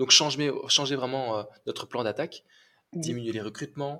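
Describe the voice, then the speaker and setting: With a bright, sharp tone, a man talks at a fairly quick pace and keeps his intonation fairly even. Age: 30s. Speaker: real estate entrepreneur. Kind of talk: interview. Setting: remote call. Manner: halting.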